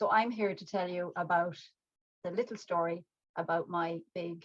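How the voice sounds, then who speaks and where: With an Irish accent, a woman talks fairly slowly in a fairly low voice, with fairly even intonation and long, frequent pauses. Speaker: mindfulness teacher and artist. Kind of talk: talk to an online audience.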